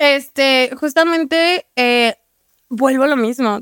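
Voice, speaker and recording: A woman talks. The variation in her pitch is ordinary. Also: dry, close sound with no echo. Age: 20s. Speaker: adult content creator. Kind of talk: casual chat.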